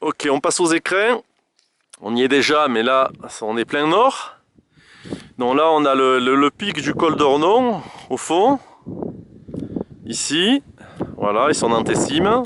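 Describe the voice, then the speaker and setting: A loud man's voice, fairly high in pitch, with very wide pitch swings, a very slow pace and long, frequent pauses, in a dry, close recording with no echo. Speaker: hiker filming a summit panorama. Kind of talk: casual on-the-spot narration. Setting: outdoors on a mountain summit. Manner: halting, many fillers.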